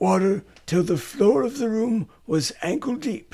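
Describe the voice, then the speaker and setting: A man does a put-on character voice, high in pitch and raspy. It swings very widely in pitch at a moderate pace. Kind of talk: old-fashioned fairy tale reading. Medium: read story.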